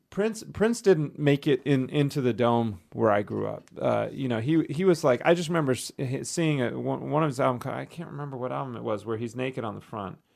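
A man with an American accent speaks in a fairly high voice at a moderate pace with lively intonation. The recording is very clean, with a silent background. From US South, western North Carolina. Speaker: composer. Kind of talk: casual chat. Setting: studio. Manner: halting.

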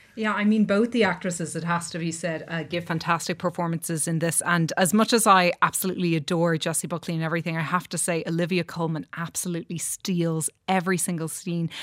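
With an Irish accent and a fairly low pitch, a woman talks fairly quickly with fairly even intonation and hardly any pauses, in a very clean recording with a silent background. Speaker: film critic. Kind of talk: studio discussion. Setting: studio.

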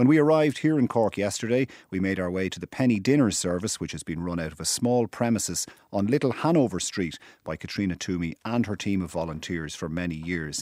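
A man with an Irish accent and a very deep, low voice at a very fast pace, in a very clean recording with a silent background. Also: lively intonation. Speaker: radio host. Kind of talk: current affairs interview.

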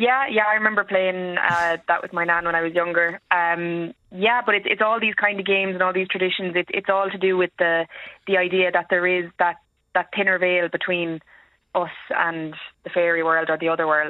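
A woman's Irish accent with fairly even intonation. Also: medium pitch for a woman, moderate pace. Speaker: historian. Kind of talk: radio phone-in.

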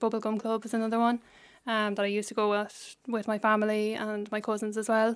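A woman talks fairly quickly in an Irish Midlands accent, her pitch fairly high. Her intonation is monotone and flat, and the recording is very clean with a silent background. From Ireland, County Laois. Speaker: PhD researcher, childhood cancer survivor. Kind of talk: radio interview. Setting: studio.

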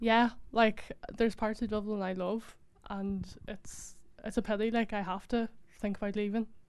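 Speaking at a moderate pace, a woman with a Donegal accent has a fairly high pitch and a monotone, flat intonation. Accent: Donegal Irish. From Ireland, Donegal. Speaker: university graduate. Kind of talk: audience comment. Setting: stage with audience.

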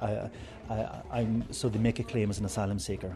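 This man talks with a fairly low pitch and ordinary pitch variation, keeping a moderate pace. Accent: Irish. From Ireland. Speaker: priest running a migrant drop-in centre. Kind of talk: interview. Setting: drop-in centre in Cork. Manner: halting, many fillers.

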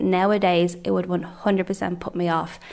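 Through noticeable background noise, a woman with a Dublin accent speaks at a fairly low pitch with fairly even intonation. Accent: Dublin Irish. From Ireland, Dublin. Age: young. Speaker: member of the public. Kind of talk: testimony.

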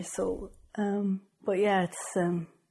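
Heard over a silent background in a very clean recording, this voice has a dark, mellow tone and is somewhat breathy. It carries a northwest Irish accent. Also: woman. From Ireland, Sligo. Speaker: record label co-founder. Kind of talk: interview. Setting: office.

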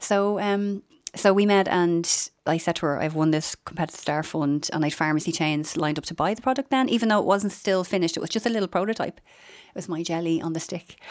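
In a very clean recording with a silent background, a woman with a Dublin accent talks at a very fast pace and a fairly low pitch. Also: ordinary pitch variation. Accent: Dublin Irish. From Dublin (Finglas), Ireland. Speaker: pharmacy entrepreneur. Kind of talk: radio interview.

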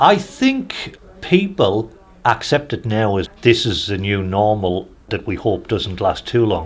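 A man with a slight Newcastle accent speaks at a fairly slow pace in a fairly low pitch. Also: ordinary pitch variation. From Newcastle, northern England. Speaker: hospital chaplain, priest. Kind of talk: interview testimony.

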